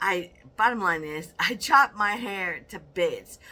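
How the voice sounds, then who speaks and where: On a very clean recording with a silent background, a woman speaks with ordinary pitch variation. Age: 60s. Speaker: weight loss vlogger. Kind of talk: casual vlog monologue. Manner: rambling, with filler.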